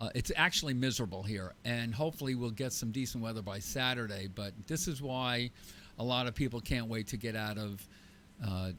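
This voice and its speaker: With an unremarkable speaking voice, a man at medium pitch moves at a fairly quick pace, his pitch varying in an ordinary way. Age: 60s. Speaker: radio talk show co-host. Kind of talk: casual talk radio chat.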